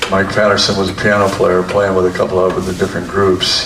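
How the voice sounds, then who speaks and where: A very deep, low-pitched man at a moderate pace, monotone and flat in intonation, with noticeable background noise and audible room echo. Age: 80s+. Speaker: drummer. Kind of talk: interview.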